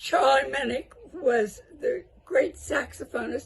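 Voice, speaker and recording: There is music behind the speaker. She is a woman with an American accent. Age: 80s+. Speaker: service club member. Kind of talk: oral history interview.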